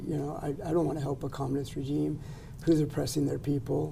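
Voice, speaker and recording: A man with a fairly high pitch and a dark, mellow tone talks at a fairly quick pace, with vocal fry. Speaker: immigration lawyer. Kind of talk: casual interview chat.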